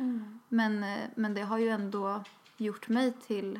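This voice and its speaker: Noticeable noise sits in the background as a woman speaks at a fairly high pitch. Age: 20s. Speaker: podcast co-host. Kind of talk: casual chat. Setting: outdoors. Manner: talkative.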